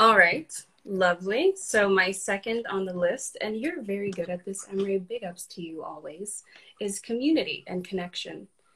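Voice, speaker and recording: A woman in a normal speaking voice, medium in pitch, at a moderate pace, with ordinary pitch variation and big swings in loudness. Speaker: guest. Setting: Instagram live video.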